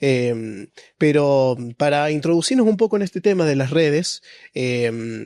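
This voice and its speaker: A man with a fairly high pitch speaks at a fairly slow pace, his dark, mellow tone carried by lively intonation. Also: dry, close sound with no echo. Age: 20s. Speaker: podcast host. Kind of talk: podcast interview.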